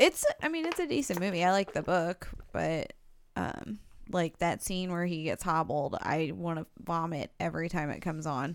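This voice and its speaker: A woman with an unremarkable speaking voice talks at a moderate pace. Her pitch is fairly low, with ordinary variation. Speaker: co-host. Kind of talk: casual chat.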